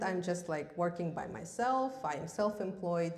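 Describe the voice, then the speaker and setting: A woman with a Russian accent, lively intonation and a moderate pace, amid audible room echo. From Russia, Yakutia. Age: 30s. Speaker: massage therapist giving seminar. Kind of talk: seminar talk. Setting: stage with audience, live stream. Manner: halting, many fillers.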